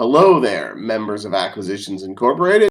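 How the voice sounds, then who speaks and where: Using a put-on character voice, a man talks at a fairly quick pace with a medium pitch. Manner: loud, disdainful.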